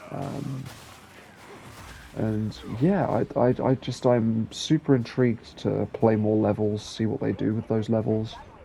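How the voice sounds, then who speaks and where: A man's fairly slow delivery has fairly even intonation, set against noticeable background noise. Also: medium pitch for a man. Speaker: gaming youtuber. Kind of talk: game review voiceover. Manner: relaxed, low-energy; hesitant, many fillers.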